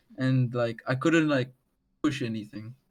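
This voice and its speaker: A man's medium-pitched voice with a strong South African accent. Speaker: underground musician. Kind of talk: casual interview chat. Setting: video call.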